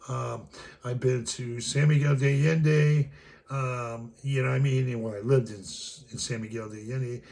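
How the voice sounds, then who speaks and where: A man speaks at a fairly slow pace and medium pitch, somewhat breathy, with fairly even intonation. His loudness swings widely, and room echo is audible. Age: 60s. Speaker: travel vlogger. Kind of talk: casual monologue. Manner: rambling, hesitant with many fillers.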